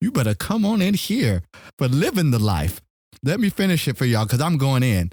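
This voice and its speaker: Somewhat breathy, fairly high male voice with very wide pitch swings and very even loudness, in a very clean recording with a silent background. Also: fairly quick pace. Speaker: podcast co-host. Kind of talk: casual podcast chat. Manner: animated.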